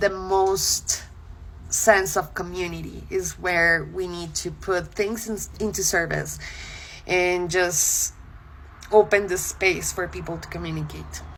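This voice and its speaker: A woman speaks with a Spanish accent. Her pace is very slow. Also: big swings in loudness. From Colombia. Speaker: content creator. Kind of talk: casual talk to camera. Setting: social media video.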